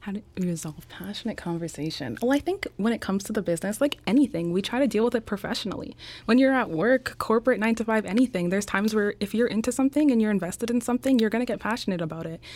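A woman talks at a very fast pace with hardly any pauses, her fairly high voice full of lively intonation. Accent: Canadian. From Canada, Winnipeg, Manitoba. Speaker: entrepreneur. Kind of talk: interview.

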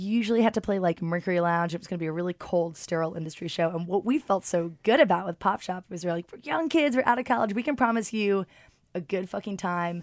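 A woman's medium-pitched, animated voice at a very fast pace, with ordinary pitch variation and big swings in loudness, on a very clean recording with a silent background. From London. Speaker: musician and record label founder. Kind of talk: casual interview chat.

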